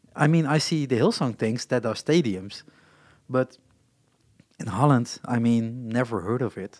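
In a very clean recording with a silent background, the speaker talks with a Dutch accent at a fairly slow pace, with ordinary pitch variation and long, frequent pauses. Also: man, medium pitch for a man. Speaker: podcast host. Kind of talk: casual chat. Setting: live at a festival. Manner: halting.

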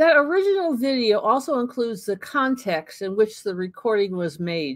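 A woman speaks at a fairly high pitch. Her pitch swings very widely. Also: moderate pace, quiet background. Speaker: history channel host. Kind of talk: scripted narration. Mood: warm, friendly. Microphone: webcam.

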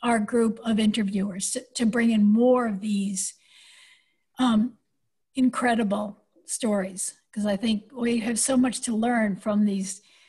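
Over a quiet background, a woman with a fairly high pitch and a dark, mellow, somewhat breathy tone speaks at a fairly slow pace in monotone, flat intonation. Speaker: oral historian. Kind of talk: oral history interview. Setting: video call. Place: home room. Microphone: video call.

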